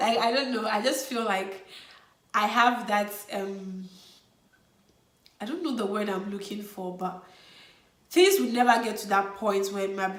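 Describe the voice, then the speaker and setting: Noticeable background noise is present throughout. The delivery is moderate in pace, and pitch varies in an ordinary way. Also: woman. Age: 20s. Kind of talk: casual talk to camera. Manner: energetic, upbeat.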